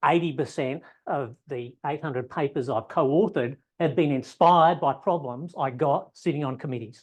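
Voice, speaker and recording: Ordinary pitch variation in an Australian accent against a quiet background. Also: man. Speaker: ecology professor. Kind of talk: lecture. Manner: fast.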